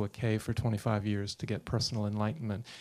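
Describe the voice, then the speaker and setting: A man is speaking at a medium pitch. His pace is moderate. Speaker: meditation teacher. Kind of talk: introduction speech. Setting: stage with audience. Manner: halting.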